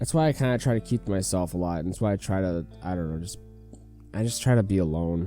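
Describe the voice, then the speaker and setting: Music plays in the background as a man with an American accent talks at a fairly quick pace in a very deep, low voice. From US Midwest, Wisconsin. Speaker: gaming youtuber. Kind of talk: personal vlog confession. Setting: home, at computer. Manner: halting.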